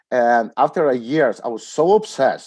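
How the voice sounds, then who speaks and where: A man with a Polish accent speaks at a moderate pace against a quiet background. His tone is dark and mellow, and his intonation is lively. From Poland. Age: 40s. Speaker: startup CEO in trucking. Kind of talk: casual interview. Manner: halting, hesitant with filler words.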